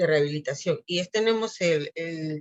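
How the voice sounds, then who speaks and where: This woman has an unremarkable speaking voice, pitched fairly low, with fairly even intonation. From Peru. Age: 60s. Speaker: physiotherapist. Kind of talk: interview.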